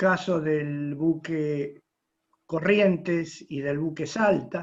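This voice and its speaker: This man speaks at a very slow pace. His pitch is fairly high and his intonation fairly even. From Argentina, Rosario (Santa Fe). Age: 80s+. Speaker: retired merchant navy officer. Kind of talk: audience question at online conference.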